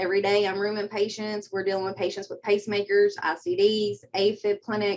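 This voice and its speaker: A woman speaks with a Kentucky accent. Her pace is fairly quick. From southeastern Kentucky, Pineville. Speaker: medical assistant. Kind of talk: interview.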